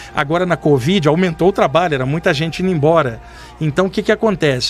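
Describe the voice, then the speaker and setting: Talking at a very fast pace with ordinary pitch variation, a man is heard over noticeable background noise. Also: fairly high pitch for a man. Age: 60s. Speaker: medium. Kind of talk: podcast interview storytelling. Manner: casual, animated.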